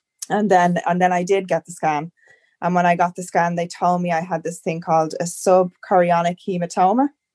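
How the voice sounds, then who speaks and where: The sound is dry and close, with no echo. The speaker, in an Irish accent, goes at a fairly quick pace with monotone, flat intonation. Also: woman, fairly low pitch for a woman. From Ireland. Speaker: first-time mother sharing birth story. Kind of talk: casual interview chat.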